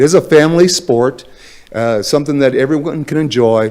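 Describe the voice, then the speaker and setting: Speaking at a moderate pace, a man has a medium pitch, a dark, mellow tone and ordinary pitch variation. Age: 60s. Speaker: public commenter, boating advocate. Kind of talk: public comment at city council meeting. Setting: city council chamber. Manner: halting, many fillers.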